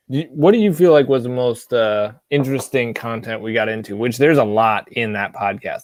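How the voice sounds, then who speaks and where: A man's medium-pitched voice, an ordinary speaking voice, with ordinary pitch variation. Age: 30s. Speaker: whiskey channel host. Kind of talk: casual chat. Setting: live stream.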